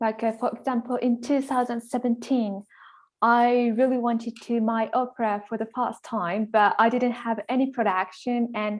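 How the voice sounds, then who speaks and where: In a Japanese accent, a woman talks at a moderate pace with a fairly high pitch and monotone, flat intonation against a quiet background. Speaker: composer. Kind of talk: interview conversation.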